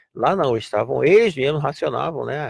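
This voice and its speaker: A man speaks with a fairly high, somewhat breathy voice at a moderate pace, the sound dry and close with no echo. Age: 60s. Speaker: radio host. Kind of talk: radio talk show.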